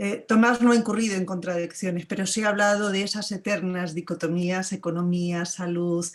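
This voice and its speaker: Medium-pitched woman's speech in a Spanish accent, monotone and flat in intonation. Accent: Spanish (Spain). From Spain. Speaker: academic. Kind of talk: panel discussion comment. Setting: video call.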